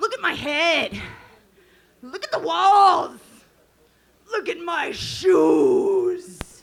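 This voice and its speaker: An extremely high put-on character voice crawls along at a very slow pace with long, frequent pauses. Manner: dumb, slow, exaggerated.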